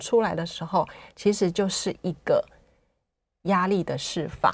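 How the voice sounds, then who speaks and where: A woman with an ordinary speaking voice talks at a fairly slow pace and medium pitch in a very clean recording with a silent background. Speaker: writer and former nurse. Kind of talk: interview. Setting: studio.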